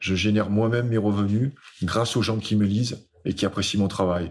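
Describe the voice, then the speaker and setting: Against a quiet background, a man uses an ordinary speaking voice, fairly low in pitch, at a fairly slow pace with fairly even intonation. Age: 50s. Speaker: speaker and author. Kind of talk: casual interview.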